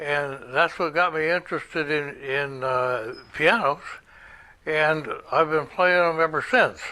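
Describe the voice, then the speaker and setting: A man's fairly high, bright and sharp voice with an American accent, fairly slow, with ordinary pitch variation, in a very clean recording with a silent background. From California, Alameda. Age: 80s+. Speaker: composer. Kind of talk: personal introduction. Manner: halting.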